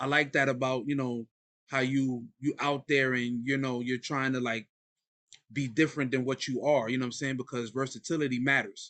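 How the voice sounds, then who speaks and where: With a New York accent, a man speaks at a moderate pace in a monotone, flat intonation, his bright, sharp tone set against a quiet background. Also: medium pitch for a man, dry, close sound with no echo. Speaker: podcast host. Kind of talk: casual interview.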